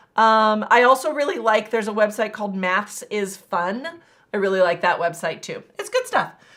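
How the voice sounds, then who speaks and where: Over a silent background in a very clean recording, a woman talks with a slight Texas accent. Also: fairly high pitch for a woman, ordinary pitch variation, moderate pace. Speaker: math teacher. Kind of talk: live-stream tutorial. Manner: casual, many fillers.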